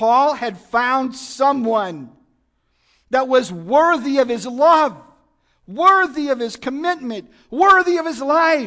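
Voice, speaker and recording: Against a quiet background, a man uses a raised, projected voice with a bright, sharp tone, very wide pitch swings, and a very slow pace. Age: 60s. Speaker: guest preacher. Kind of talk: sermon. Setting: church.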